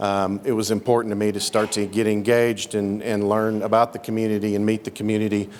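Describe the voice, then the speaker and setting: A man with an American accent speaks very fast in a fairly low pitch, monotone and flat, with hardly any pauses. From Oklahoma. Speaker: mining company executive. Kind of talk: introductory speech at a meeting. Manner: halting, many fillers.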